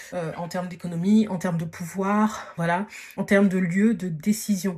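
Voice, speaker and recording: Flat, monotone delivery from a woman, pitched in the medium range and moving at a moderate pace. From Paris region, France. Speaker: podcast host, dating and social advice. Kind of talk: casual advice monologue. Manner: hesitant, many fillers (euh, voilà).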